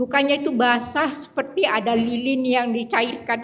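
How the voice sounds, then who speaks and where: Delivered at a fairly slow pace, the speech carries ordinary variation in pitch. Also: woman. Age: 70s. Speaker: healing testimony giver. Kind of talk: testimony. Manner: halting.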